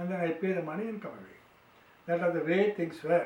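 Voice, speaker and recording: With an Indian accent, a man speaks at a high pitch in a monotone, flat delivery. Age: 80s+. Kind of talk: storytelling to grandchildren.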